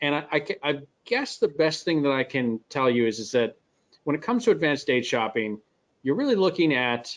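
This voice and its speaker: Against a quiet background, a man speaks with a Midwestern American accent. His intonation is lively. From US Midwest. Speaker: software company presenter. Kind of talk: webinar Q&A explanation.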